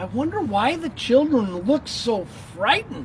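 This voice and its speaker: A female-sounding voice speaks fairly slowly with a fairly high pitch in a put-on character voice. Clear background noise sits behind it. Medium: read story.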